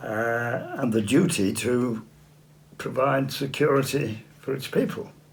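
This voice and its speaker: A man talks very slowly with an English accent. Audible room echo surrounds his voice. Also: medium pitch for a man, ordinary pitch variation. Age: 80s+. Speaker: political activist. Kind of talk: interview. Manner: halting.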